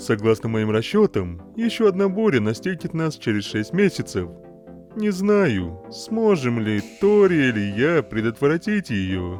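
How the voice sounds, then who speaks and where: Someone does a put-on character voice at a moderate pace. Clear music plays in the background. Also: man, medium pitch for a man. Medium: dub.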